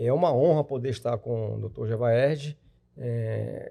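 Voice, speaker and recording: This man's dark, mellow tone unfolds at a fairly slow pace. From Brazil, Tocantins. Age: 60s. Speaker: lawyer and retired judge. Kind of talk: podcast interview. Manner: halting.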